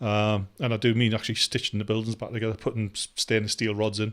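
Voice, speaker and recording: A man with a Geordie accent and a medium pitch, at a very fast pace. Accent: Geordie, noticeable. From northeast England, Newcastle upon Tyne. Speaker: vlogger. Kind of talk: casual vlog monologue. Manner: hesitant, many fillers.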